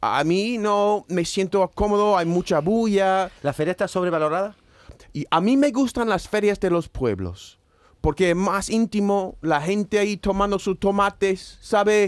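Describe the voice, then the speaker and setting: A fairly slow speaker with an English accent. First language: English (speaking Spanish). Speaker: expatriate panelist. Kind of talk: casual chat.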